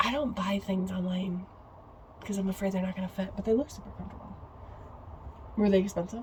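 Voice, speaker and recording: A woman's medium-pitched voice with an American accent, very fast delivery broken by long, frequent pauses, fairly even intonation, and noticeable background noise. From upstate New York. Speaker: podcast co-host. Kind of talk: casual chat.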